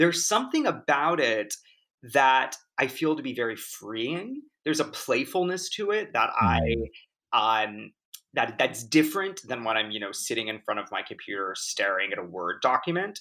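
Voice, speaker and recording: A man with an American accent speaks at a moderate pace, his fairly high pitch making very wide swings. His tone is bright and sharp, with vocal fry. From US West Coast, Orange County, California. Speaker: novelist. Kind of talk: interview.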